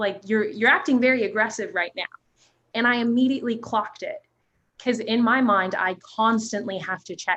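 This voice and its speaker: A loud woman with an American accent, fairly high in pitch, bright and sharp in tone, at a fairly quick pace with ordinary pitch variation. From New Jersey. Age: young. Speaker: youth advocate. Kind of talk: panel discussion. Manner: animated.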